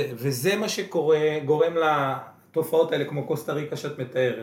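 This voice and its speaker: At a fairly slow pace and with ordinary pitch variation, a man with a fairly high pitch speaks over noticeable background noise. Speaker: podcast co-host, real estate entrepreneur. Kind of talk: casual interview. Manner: quieter than usual.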